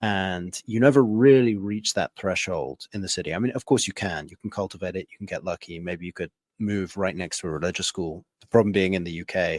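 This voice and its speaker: A man with an English accent speaks at a fairly quick pace in a very deep, low voice with ordinary pitch variation. His loudness swings widely, in a dry, close, very clean recording with a silent background. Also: hardly any pauses. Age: 30s. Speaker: podcast host. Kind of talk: casual interview chat.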